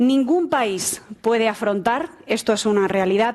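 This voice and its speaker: A woman with a normal speaking voice talks at a fairly slow pace, fairly high in pitch, with ordinary pitch variation. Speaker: moderator, tech journalist. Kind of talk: panel moderation. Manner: formal.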